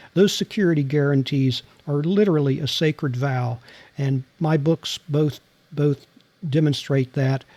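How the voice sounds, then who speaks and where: At a fairly slow pace, a dark, mellow voice with an American accent comes through a very clean recording with a silent background and a dry, close sound with no echo. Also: man, fairly high pitch for a man. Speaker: former intelligence officer and novelist. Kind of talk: interview.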